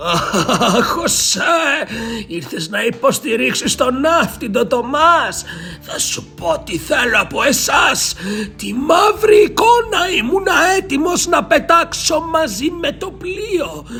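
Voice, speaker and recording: A man's put-on character voice over clear music in the background. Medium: read story. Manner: ominous, solemn.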